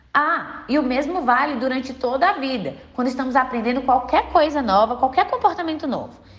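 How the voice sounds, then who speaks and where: There is noticeable background noise in this clip. A woman with a high pitch talks at a moderate pace. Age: 20s. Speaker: clinical psychologist and podcast host. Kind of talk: scripted narration.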